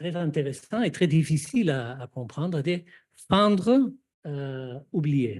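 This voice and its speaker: A man with a non-native accent, fairly high pitch and a somewhat breathy voice at a very slow pace, on a very clean recording with a silent background. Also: lively intonation. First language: not French (speaking French). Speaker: psychoanalyst, seminar speaker. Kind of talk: panel discussion. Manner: halting, many hesitations.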